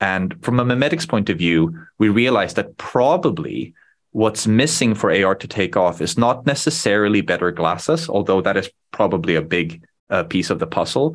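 A man with a Swedish accent and a fairly low pitch talks at a moderate pace with very wide pitch swings, in a very clean recording with a silent background. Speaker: startup founder. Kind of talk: casual interview chat.

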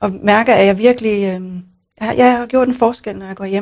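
A woman talks at a moderate pace in a fairly high pitch, her intonation flat and monotone. The background is quiet. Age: 50s. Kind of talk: coaching session. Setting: studio.

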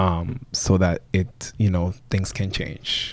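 A man's very deep, low voice with fairly even intonation, in a very clean recording with a silent background. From Bronx, New York and Dominican Republic. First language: Spanish. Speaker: PE teacher and property owner. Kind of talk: casual interview.

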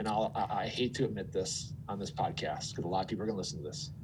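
A man with an Upper Midwest accent speaks at a fairly low pitch. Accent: Upper Midwest American. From Minnesota. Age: 40s. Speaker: former TV meteorologist, finance and career coach. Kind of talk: interview conversation. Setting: studio.

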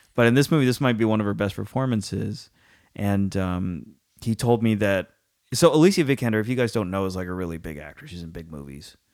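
Talking at a very fast pace, a man with a fairly low pitch uses lively intonation and big swings in loudness on a very clean recording with a silent background. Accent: Californian. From San Francisco Bay Area. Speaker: podcast host, film critic. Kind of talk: casual chat.

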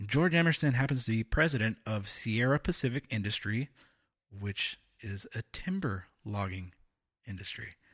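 In a plain, everyday voice, a man speaks at medium pitch and a moderate pace with lively intonation, recorded very cleanly with a silent background and a dry, close sound with no echo. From California. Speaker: political podcast co-host. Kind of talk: casual political discussion.

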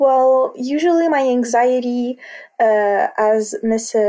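In a Quebec accent, a woman talks at a fairly high pitch with a dark, mellow tone. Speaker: college student. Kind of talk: interview testimony. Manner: halting.

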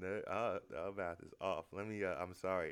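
Very deep, low male voice, moderately paced, intonation fairly even. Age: 20s. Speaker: podcast host. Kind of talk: casual chat. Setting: indoors.

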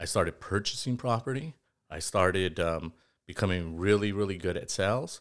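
A plain, everyday voice with an American accent, at a moderate pace with ordinary pitch variation. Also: man, fairly low pitch for a man. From East Los Angeles. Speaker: financial and insurance advisor. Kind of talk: interview.

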